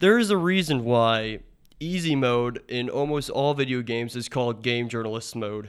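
This man has a plain, everyday voice at medium pitch. He keeps a moderate pace with ordinary pitch variation. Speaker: student gamer guest. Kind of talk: casual opinion talk.

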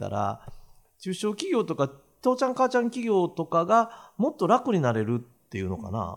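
In a very clean recording with a silent background, a man with a Kansai accent speaks at a fairly quick pace in a high pitch, his voice making very wide pitch swings. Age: 60s. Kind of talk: casual chat.

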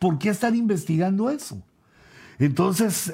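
Somewhat breathy, a man's voice swings very widely in pitch. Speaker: apostle and preacher. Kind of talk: bible teaching. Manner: hesitant, frequent fillers.

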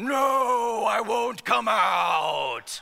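Someone shouts in a put-on character voice with a fairly high pitch. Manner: eerie, refusing.

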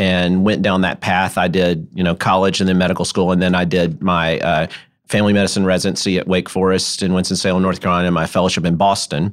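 A man with a Memphis accent speaks at a fairly quick pace in a very deep, low voice. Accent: US Southern (Memphis). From Memphis, Tennessee. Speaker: sports medicine doctor. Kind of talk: interview. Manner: halting, with frequent repetitions.

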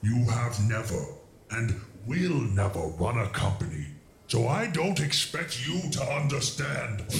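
A man at a medium pitch with very wide pitch swings, very even loudness and a fairly slow pace, over clear background noise. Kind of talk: villainous courtroom drama. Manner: contemptuous, taunting, grandiose.

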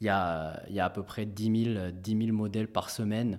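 A man at a very slow pace, fairly even in intonation, on a very clean recording with a silent background. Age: 30s. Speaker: fund manager. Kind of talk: interview. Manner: halting, many repetitions.

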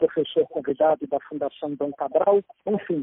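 This man talks at a fairly slow pace. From Brazil, Espírito Santo. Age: 40s. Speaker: real estate executive and mountaineer. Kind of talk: interview.

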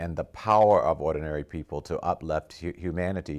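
Very deep and low in pitch, a man speaks with lively intonation. The recording is very clean, with a silent background. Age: 70s. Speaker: scholar and activist interviewer. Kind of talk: interview. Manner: halting, many fillers.

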